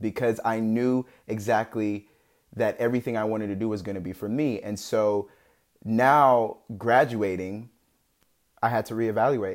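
In a very clean recording with a silent background, a man of medium pitch speaks with fairly even intonation and long, frequent pauses. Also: moderate pace. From US and Nigeria (Maryland-born, moved to Nigeria at eight). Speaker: medical student. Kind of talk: casual interview storytelling.

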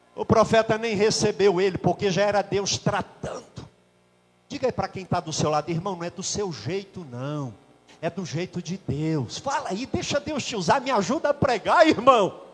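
Over noticeable background noise, a man speaks at a moderate pace in a high voice, with an animated tone and very wide pitch swings. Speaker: pastor. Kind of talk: sermon.

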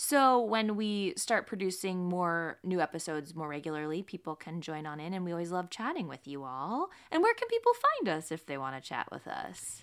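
At a moderate pace, a woman with a plain, everyday voice talks with lively intonation, big swings in loudness and hardly any pauses. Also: fairly low pitch for a woman. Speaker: podcast host. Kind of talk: casual chat, interview.

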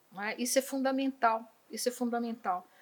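Bright and sharp in tone, a woman speaks at a moderate pace on a very clean recording with a silent background. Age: 60s. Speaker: retired school principal, educator. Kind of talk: podcast interview. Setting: studio.

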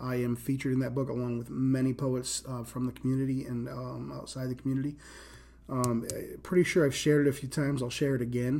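Speaking very fast, a man with an American accent holds a medium pitch. His intonation is monotone and flat. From Rhode Island, US. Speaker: poet and live-stream host. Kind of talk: casual solo live stream, unscripted talk. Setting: Instagram live stream answering comments. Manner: unscripted, raw, conversational with filler words.

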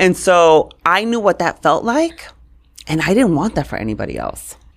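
At a moderate pace, a woman speaks with vocal fry. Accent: New York. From New York City (Brooklyn and Queens), Puerto Rican family. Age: 40s. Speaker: communications coach. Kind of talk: interview.

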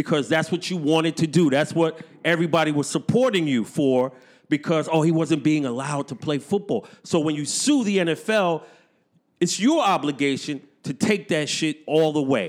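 Speaking in a New York accent, a man with a fairly high pitch keeps a moderate pace and ordinary pitch variation. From New York City, Brooklyn. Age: 50s. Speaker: podcaster and beatmaker. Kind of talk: casual chat. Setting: studio.

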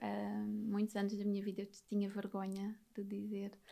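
This woman's voice has a dark, mellow tone and a fairly high pitch, and she speaks at a moderate pace. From Alentejo, Portugal (near Beja). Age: 30s. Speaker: psychologist. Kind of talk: podcast interview, personal testimony.

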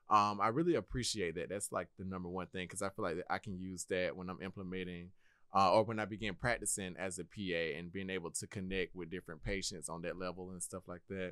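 A man speaks very fast in a very deep, low voice with a bright, sharp tone, fairly even intonation and hardly any pauses, on a very clean recording with a silent background. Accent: American. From Georgia, Milledgeville. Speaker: physician assistant student. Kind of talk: casual interview.

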